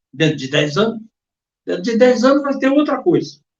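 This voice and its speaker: Man's voice with very wide pitch swings. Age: 70s. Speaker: sports radio commentator. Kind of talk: interview. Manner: halting, repeats words.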